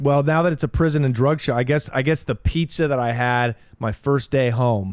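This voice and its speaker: A man's medium-pitched, ordinary speaking voice at a moderate pace, with ordinary pitch variation. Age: 30s. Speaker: stand-up comedian and former drug smuggler. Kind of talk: casual chat.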